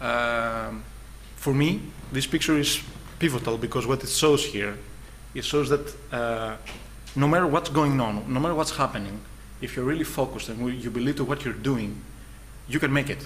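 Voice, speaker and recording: With noticeable background noise and audible room echo, a man speaks with long, frequent pauses. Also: medium pitch for a man, ordinary pitch variation, moderate pace. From Greece. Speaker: designer presenting his studio. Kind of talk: conference presentation. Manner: halting, many fillers.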